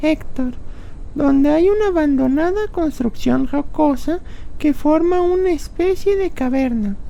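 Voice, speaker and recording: Over clear background noise, a woman uses a put-on character voice pitched extremely high. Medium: audio drama.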